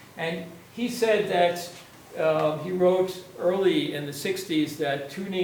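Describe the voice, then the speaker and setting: Amid noticeable background noise and audible room echo, a man with an American accent talks with ordinary pitch variation. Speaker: media artist and composer. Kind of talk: lecture. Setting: lecture hall with audience. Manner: hesitant, many fillers; fast.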